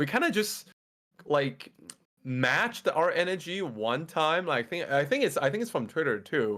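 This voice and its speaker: This man speaks at a moderate pace with a Mandarin accent, his fairly high voice bright and sharp in tone and swinging very widely in pitch. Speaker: Twitch streamer and fitness coach. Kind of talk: casual chat.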